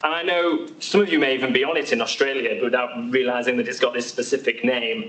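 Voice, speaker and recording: There is noticeable background noise as a man with a British accent speaks at a fairly quick pace with ordinary pitch variation. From UK. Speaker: haematology doctor. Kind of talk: presentation at patient education event. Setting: hospital event with live audience, also streamed. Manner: hesitant with frequent fillers and repetitions.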